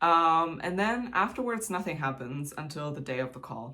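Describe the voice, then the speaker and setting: A very clean recording, silent background, with a German accent. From Germany. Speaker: YouTuber, K-pop fan. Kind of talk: casual vlog talk. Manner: chatty, many fillers.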